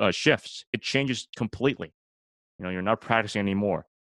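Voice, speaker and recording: On a very clean recording with a silent background and a dry, close sound with no echo, a man with a Canadian accent talks at a fairly quick pace. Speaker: law student and sports announcer. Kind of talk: casual interview. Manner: rambling, talkative.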